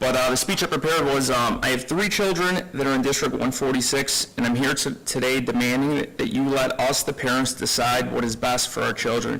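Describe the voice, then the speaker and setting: Against noticeable background noise, a man speaks at a fairly quick pace in a medium pitch, with very even loudness, hardly any pauses and ordinary pitch variation. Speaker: parent speaking at public comment. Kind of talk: public comment speech. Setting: school board meeting. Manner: halting, stumbling.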